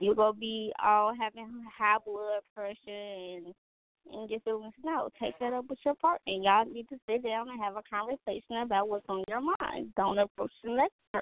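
A woman with an unremarkable speaking voice talks at a moderate pace in a fairly high pitch, with ordinary pitch variation and big swings in loudness. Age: 20s. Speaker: podcast co-host. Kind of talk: casual chat.

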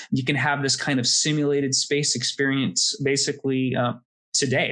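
This man speaks at a medium pitch in a plain, everyday voice. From US, Florida. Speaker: space industry consultant. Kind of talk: interview.

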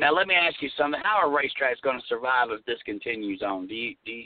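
Lively intonation and a very fast pace mark this man's fairly high-pitched speech. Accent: Southern US. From US South. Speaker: radio host. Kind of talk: casual chat. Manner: animated.

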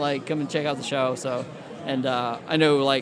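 A man with an American accent, fairly high in pitch, at a moderate pace, with audible room echo and noticeable background noise. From Indiana. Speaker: graphic designer, former wrestling referee. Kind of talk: casual chat.

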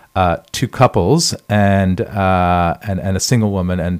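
In a New York accent, a man speaks with very deep, low pitch and fairly even intonation on a very clean recording with a silent background. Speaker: blogger and tour guide. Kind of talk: interview. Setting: studio.

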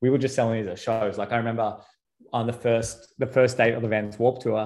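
Speaking at a fairly quick pace, a man has an Australian accent and a medium pitch. His tone is dark and mellow. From Australia, Sydney. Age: 30s. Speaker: entrepreneur. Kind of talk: casual chat.

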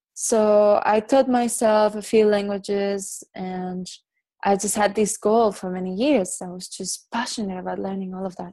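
A woman's dark, mellow voice at medium pitch, with a Spanish accent, fairly even intonation, a moderate pace and big swings in loudness. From Barcelona, Spain; raised in Dominican Republic. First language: Catalan. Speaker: yoga and meditation teacher. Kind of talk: casual chat.

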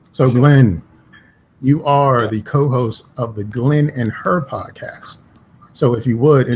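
Ordinary pitch variation shapes an ordinary speaking voice. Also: man. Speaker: podcast host. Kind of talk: casual banter, comedic chat.

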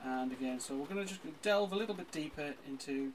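A man's fairly high voice, lively in intonation, keeps a moderate pace amid noticeable background noise. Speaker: interviewer of local musicians. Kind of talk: casual interview.

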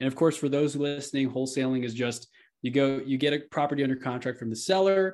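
A man with an American accent speaks in a normal speaking voice at a medium pitch and a fairly quick pace. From Texas, Houston. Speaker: real estate entrepreneur and podcast host. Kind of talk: casual interview.

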